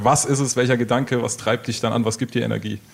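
Very fast in pace, a man talks at a medium pitch in a monotone with flat intonation. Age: 20s. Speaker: radio host. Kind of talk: radio interview.

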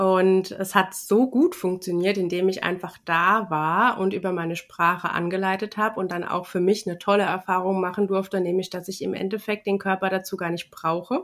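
A woman's flat, monotone delivery with hardly any pauses. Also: medium pitch for a woman, moderate pace. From Rheinhessen, Germany. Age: 40s. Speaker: yoga and ayurveda teacher. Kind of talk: interview.

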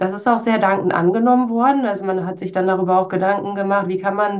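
A woman speaks in an ordinary speaking voice at a medium pitch. Her intonation is fairly even. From Münsterland, northwestern Germany. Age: 30s. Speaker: HR team leader. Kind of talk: interview.

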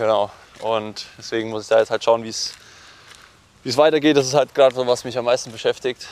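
A man talks at a fairly quick pace and medium pitch, his intonation fairly even. He leaves long, frequent pauses, and the sound is dry and close with no echo. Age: 20s. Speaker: professional triathlete. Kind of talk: interview conversation. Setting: outdoors, walking. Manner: hesitant, many fillers.

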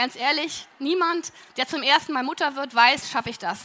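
Her voice raised and projected, a woman speaks at a high pitch and fairly quick pace with ordinary pitch variation. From Berlin, Germany. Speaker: plant manager. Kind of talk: talk to an audience. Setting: auditorium with audience.

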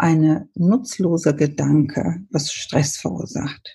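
Speaking very slowly, a woman has a somewhat breathy, fairly low voice. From Ethiopia. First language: Amharic and English (speaking German). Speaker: paediatrician and author. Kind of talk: interview. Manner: halting.

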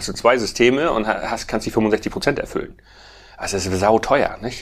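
This man has a plain, everyday voice. He speaks at medium pitch and a fairly quick pace. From Schleswig-Holstein, northern Germany. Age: 40s. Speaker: farmer and bioenergy entrepreneur. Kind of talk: casual interview.

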